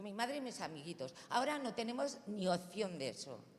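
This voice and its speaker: Speaking at a fairly quick pace, a woman with a fairly high pitch and lively intonation is heard with audible room echo. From Valencia, Spain. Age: 60s. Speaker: neighbour speaking at a city council meeting. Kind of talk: public address at a council plenary. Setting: council chamber. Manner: animated, confrontational.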